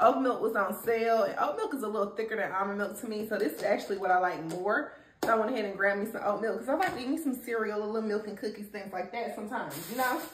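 Audible room echo and light background noise surround speech delivered at a very fast pace with ordinary pitch variation. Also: woman, hardly any pauses. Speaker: mom vlogger. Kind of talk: casual vlog chat. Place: kitchen. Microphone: camera far.

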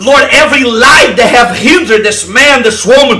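A man's raised, projected voice at a fairly slow pace, over light background noise. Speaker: evangelist leading online deliverance prayer. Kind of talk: fervent deliverance prayer, commanding and declaring. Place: home room. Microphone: headset.

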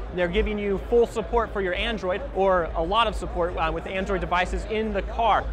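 The pace is fairly quick. The sound is dry with no echo, and there is noticeable background noise. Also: man. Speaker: presenter. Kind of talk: trade show product walkthrough. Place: hall. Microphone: lapel.

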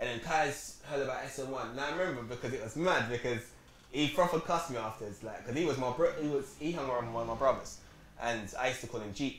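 In a London accent, a man talks very fast with ordinary pitch variation, amid audible room echo and light background noise. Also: medium pitch for a man. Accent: London Multicultural English. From South London, Peckham. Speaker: rapper; interview guest. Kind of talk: casual chat. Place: shop.

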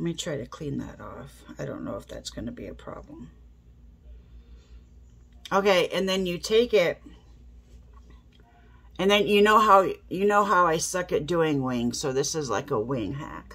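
A woman speaks low for a woman and fairly slowly, with a nasal, fairly bright tone, vocal fry, a slightly husky edge, lively intonation and long, frequent pauses.

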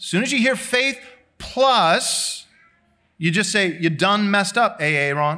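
In a raised, projected voice, a man speaks fairly slowly with a high pitch. His intonation is lively and his tone bright and sharp. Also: quiet background. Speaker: pastor. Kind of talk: sermon. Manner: loud. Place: church. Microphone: lapel.

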